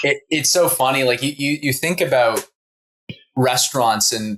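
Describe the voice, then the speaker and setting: A man with a slight Canadian accent speaks at a fairly high pitch with ordinary pitch variation. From Canada. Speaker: interviewer. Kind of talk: interview conversation.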